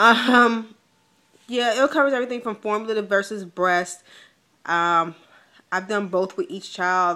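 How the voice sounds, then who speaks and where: A woman speaks at a moderate pace with ordinary pitch variation. Her tone is bright and sharp. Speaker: vlogger. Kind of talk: casual vlog. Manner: hesitant, many ums.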